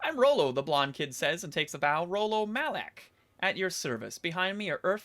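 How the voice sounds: The natural reading voice has lively intonation.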